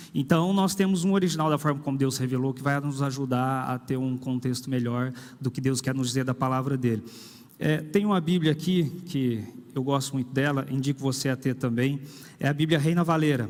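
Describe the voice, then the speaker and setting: With ordinary pitch variation, a man talks at a moderate pace in a fairly high pitch. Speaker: pastor. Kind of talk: sermon. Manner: conversational, with hesitations.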